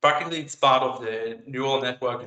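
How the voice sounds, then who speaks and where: In an Israeli accent, a man speaks at medium pitch. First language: Hebrew. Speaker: AI researcher. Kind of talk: conference talk and Q&A. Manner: halting, many fillers.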